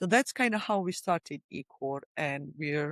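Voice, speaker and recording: A woman speaks with a Georgian accent and very wide swings in pitch. The sound is dry and close with no echo, and the recording is very clean over a silent background. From Republic of Georgia. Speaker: company CEO and founder. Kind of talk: podcast interview. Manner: hesitant, many fillers.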